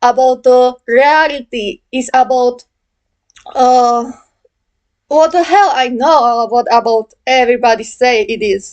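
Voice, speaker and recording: With a non-native accent, a woman speaks very slowly in a high pitch with ordinary pitch variation. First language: not English. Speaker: gaming video creator. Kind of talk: video essay monologue. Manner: halting, many fillers.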